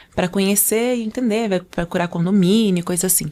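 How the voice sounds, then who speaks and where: Her intonation is fairly even. The woman's voice sits at a medium pitch. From Angola. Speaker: podcast guest, communication trainer and former model. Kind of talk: casual interview chat. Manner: fast.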